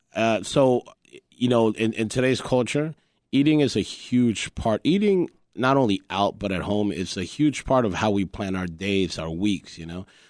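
On a very clean recording with a silent background and a dry, close sound with no echo, a man with a Spanish accent speaks at a moderate pace with a fairly low pitch and lively intonation. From Colombia. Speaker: chef and restaurant owner. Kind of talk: interview. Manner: hesitant, many fillers.

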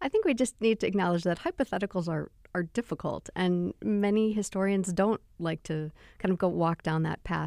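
An ordinary speaking voice moves at a moderate pace. The sound is dry and close with no echo, in a very clean recording with a silent background. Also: woman. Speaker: architecture expert. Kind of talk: interview, explanatory. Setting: studio.

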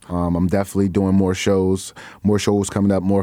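Someone with an American accent speaks in a dark, mellow tone on a very clean recording with a silent background. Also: man. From Chicago, north side. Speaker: actor and rapper. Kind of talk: interview.

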